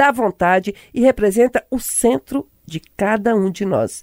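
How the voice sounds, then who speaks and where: A woman uses a plain, everyday voice, fairly high in pitch, with lively intonation and a dry, close sound with no echo. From Brazilian countryside. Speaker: radio host, journalist. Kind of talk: radio talk show.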